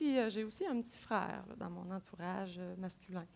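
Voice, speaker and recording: A woman with ordinary pitch variation. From Quebec City. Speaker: agile coach. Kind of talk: conference talk. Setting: stage with audience.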